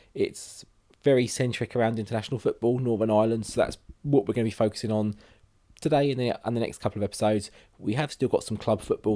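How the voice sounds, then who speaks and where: A man with a British accent speaks in a dark, mellow tone at medium pitch. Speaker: gaming youtuber. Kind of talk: let's play commentary. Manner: casual with many fillers.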